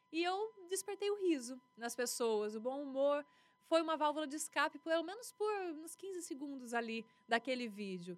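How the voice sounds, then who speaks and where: Here a woman's high-pitched voice moves through very wide pitch swings. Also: moderate pace. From western São Paulo state, Brazil. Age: 30s. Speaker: TV news anchor and journalist. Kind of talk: casual interview.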